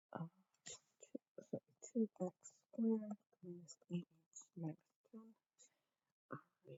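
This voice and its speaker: A woman's somewhat breathy, medium-pitched voice, with long, frequent pauses and big swings in loudness. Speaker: math teacher. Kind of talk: recorded lesson. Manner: hesitant with fillers.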